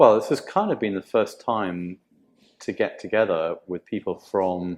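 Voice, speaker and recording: Here is a man with a British accent. He speaks at a fairly slow pace. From UK. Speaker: tech company chief architect. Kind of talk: interview. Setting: live in-person event. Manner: halting. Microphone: poor audio quality.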